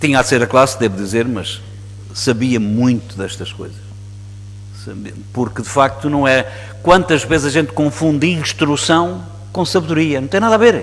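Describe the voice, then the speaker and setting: A man with a European Portuguese accent speaks at a moderate pace and medium pitch, his lively intonation broken by long, frequent pauses and big swings in loudness, amid audible room echo and noticeable background noise. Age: 60s. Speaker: priest. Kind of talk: sermon. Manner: halting.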